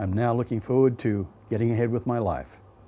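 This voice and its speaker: Keeping a moderate pace, a man speaks in a dark, mellow tone. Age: 60s. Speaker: interviewer, cancer survivor. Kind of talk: scripted introduction.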